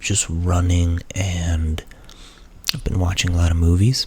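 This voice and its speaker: A man talks at a very slow pace with a very deep, low pitch. Noticeable background noise runs underneath. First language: Portuguese. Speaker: ASMR creator. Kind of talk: ASMR Q&A. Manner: soft-spoken; halting.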